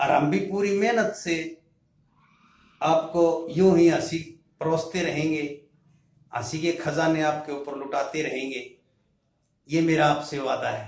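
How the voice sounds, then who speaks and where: Speaking at a very slow pace with long, frequent pauses, a man shows ordinary pitch variation amid audible room echo. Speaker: comedy channel host. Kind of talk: channel announcement to viewers. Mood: cheerful, promotional. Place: home room. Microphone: phone near.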